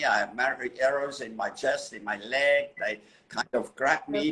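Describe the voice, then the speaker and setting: At a moderate pace, the speaker talks while noticeable background noise runs underneath. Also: man. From Switzerland, mountains. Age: 70s. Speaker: photographer. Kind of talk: interview storytelling.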